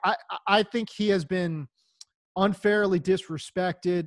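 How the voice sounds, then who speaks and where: The speech moves at a fairly slow pace, with a dry, close sound with no echo, on a very clean recording with a silent background. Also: man. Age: 40s. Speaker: fantasy football analyst. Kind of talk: casual chat. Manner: animated.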